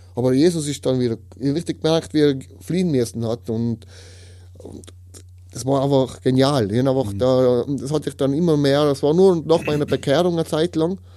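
A man with a Tyrolean accent speaks at a moderate pace, his pitch fairly high with ordinary variation. His tone is dark and mellow. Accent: Tyrolean Austrian German. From Austria, Tyrol. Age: 30s. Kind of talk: testimony. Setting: studio. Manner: halting.

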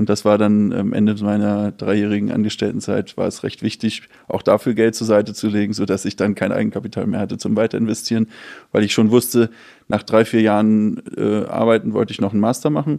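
A man speaks at a fairly quick pace with a fairly low pitch and a dark, mellow tone. His intonation is monotone and flat, over a quiet background. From Hamburg, northern Germany. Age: 30s. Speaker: real estate startup founder and investor. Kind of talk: casual interview.

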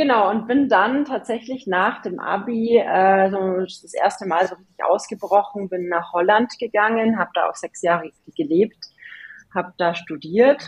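In an unremarkable speaking voice, a woman of medium pitch talks at a fairly slow pace with ordinary pitch variation. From Bavaria, Germany (Regensburg area). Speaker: agency founder and CEO. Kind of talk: interview conversation.

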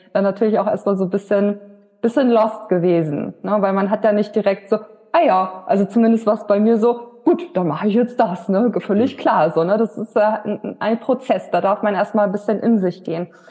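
A woman at very even loudness with ordinary pitch variation, over noticeable background noise. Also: medium pitch for a woman, moderate pace. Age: 30s. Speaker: women's health coach. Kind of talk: interview. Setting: in person.

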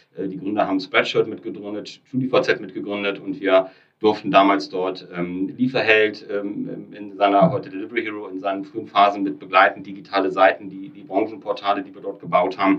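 A man's fairly low voice, an unremarkable speaking voice, with ordinary pitch variation and a moderate pace. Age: 30s. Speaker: startup founder and company builder. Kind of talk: podcast interview.

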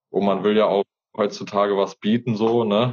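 Fairly low in pitch, a man speaks at a moderate pace. His intonation is monotone and flat. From Hesse, Fulda. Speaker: gardener and YouTuber. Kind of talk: interview conversation. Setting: Instagram live video stream. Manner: casual, colloquial.

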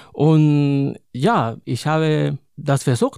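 In a very clean recording with a silent background, a man with a Spanish accent speaks in a dark, mellow tone at a fairly high pitch with ordinary pitch variation. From Spain, Madrid. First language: Spanish (speaking German). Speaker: poet and librarian. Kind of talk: interview.

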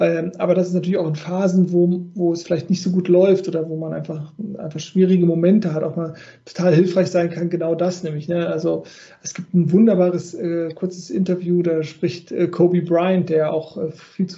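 A man speaks with a slight Cologne accent at a high pitch. His intonation is monotone and flat. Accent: slight Rhineland Kölsch. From Rhineland, Cologne area. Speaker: podcast host, life coach. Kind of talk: interview.

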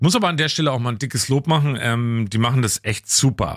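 A man's plain, everyday voice at a medium pitch, fairly quick in pace, with ordinary pitch variation. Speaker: radio host. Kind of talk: casual chat.

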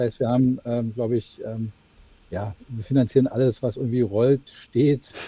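A man speaks at medium pitch and a moderate pace. His voice is somewhat breathy, with fairly even intonation. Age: 40s. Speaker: managing director of a corporate spin-off. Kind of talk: interview. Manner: halting, many fillers.

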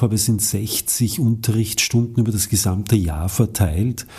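A man with a plain, everyday voice talks at a moderate pace and medium pitch, his intonation fairly even. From Lower Austria. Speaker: actor and acting teacher. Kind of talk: interview.

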